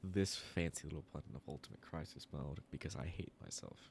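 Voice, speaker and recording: A soft-spoken man's very deep, low voice with vocal fry at a fairly quick pace. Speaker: gaming streamer. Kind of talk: live gameplay stream chat. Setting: live stream. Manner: casual, halting. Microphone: quiet audio, sitting closer to mic than usual.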